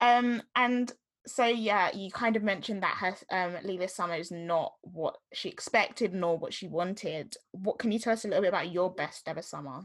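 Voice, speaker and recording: A woman with a Southeast London accent and a medium-pitched voice speaks at a moderate pace with hardly any pauses and ordinary pitch variation, on a very clean recording with a silent background. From Southeast London, England. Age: young. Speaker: podcast host. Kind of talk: casual chat. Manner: youthful, filler-heavy speech.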